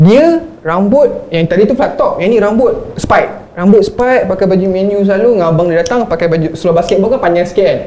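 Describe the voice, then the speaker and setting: A man talks at a very fast pace with lively intonation and a high pitch. There is noticeable background noise. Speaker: podcast co-host. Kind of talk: casual chat.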